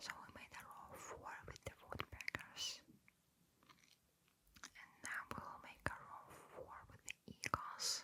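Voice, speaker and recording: Whispering in a calm tone at a very slow pace, with long, frequent pauses and noticeable background noise. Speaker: ASMR creator. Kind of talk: ASMR gameplay commentary. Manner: quiet whisper; soft-spoken, calm.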